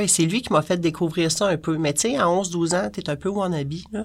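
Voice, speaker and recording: In a very clean recording with a silent background, a woman with a plain, everyday voice speaks fairly slowly at a fairly low pitch, with ordinary pitch variation. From Quebec, Montreal-Laval area. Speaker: punk culture writer and online community moderator. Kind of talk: casual interview.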